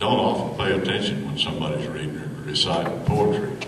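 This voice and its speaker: A man with an American accent speaks with lively intonation against noticeable background noise. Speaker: rancher and cowboy poet. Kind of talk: casual spoken introduction to a live audience.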